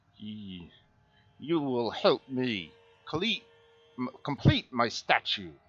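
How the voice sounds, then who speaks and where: A man puts on a guttural character voice at a medium pitch. He speaks at a very slow pace, with long, frequent pauses. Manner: stammering, halting.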